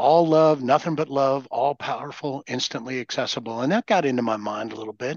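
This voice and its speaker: The sound is dry and close with no echo as a man speaks in a normal speaking voice at a medium pitch and a fairly quick pace. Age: 60s. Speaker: recovering alcoholic sharing experience. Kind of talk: casual chat.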